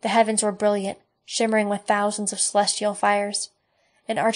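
Quiet surroundings and an unforced reading voice

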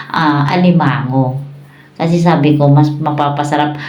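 Flat and monotone, a woman's very deep, low voice carries audible room echo along with noticeable background noise. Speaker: mukbang vlogger. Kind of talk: casual chat. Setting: eating on camera.

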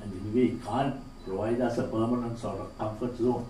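At a moderate pace, a man speaks with light background noise and audible room echo. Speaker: keynote speaker, former finance minister. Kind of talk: conference speech. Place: hall.

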